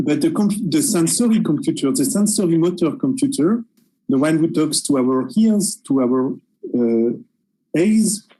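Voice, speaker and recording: Someone speaks at a fairly slow pace with a French accent. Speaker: researcher. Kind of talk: panel discussion. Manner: hesitant.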